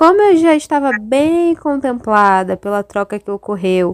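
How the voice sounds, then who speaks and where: Dry and close with no echo, a woman's high voice moves through very wide pitch swings at a fairly slow pace. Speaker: art history student researcher. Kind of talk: reflective recap.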